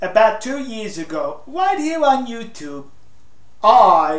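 Over audible room echo, a man speaks at a fairly slow pace with lively intonation. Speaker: political commentator. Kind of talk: casual opinion talk to camera. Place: home room.

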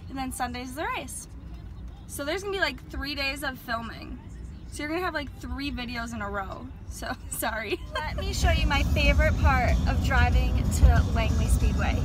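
Against clear background music, a woman speaks at a moderate pace in a dry recording with no echo. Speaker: vlogger. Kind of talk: casual vlog chat. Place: car. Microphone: phone near.

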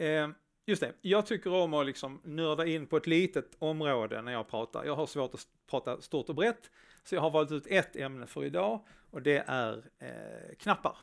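Lively intonation and big swings in loudness at a moderate pace, against a quiet background. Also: man, fairly high pitch for a man. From Skåne, southern Sweden. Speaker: front-end developer, conference speaker; presenter. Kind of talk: conference talk. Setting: stage with live audience, streamed. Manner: hesitant, many filler sounds. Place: stage.

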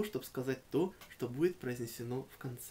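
This man has a normal speaking voice, a fairly high pitch, ordinary pitch variation and a moderate pace. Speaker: poet and reciter. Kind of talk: casual explanatory talk to the audience. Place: home room.

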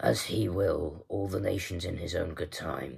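A man puts on a raspy character voice. It sits very deep and low, with ordinary pitch variation. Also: moderate pace. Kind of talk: audiobook-style reading aloud.

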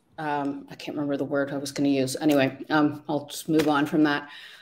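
The pace is moderate. The speaker is a woman. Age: 50s. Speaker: life coach. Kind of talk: interview. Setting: online video livestream. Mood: reflective, personal story. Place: home room.

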